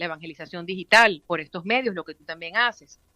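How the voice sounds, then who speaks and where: With ordinary pitch variation, a woman's bright, sharp voice comes through dry and close, with no echo. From Venezuela. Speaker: radio announcer. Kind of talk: interview answer. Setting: phone line.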